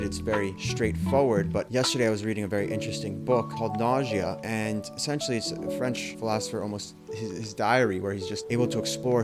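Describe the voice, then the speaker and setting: Music plays behind a man with a fairly low-pitched voice. He speaks at a fairly quick pace with lively intonation. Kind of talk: casual reflective monologue to camera. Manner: thoughtful, somewhat halting with repeated words.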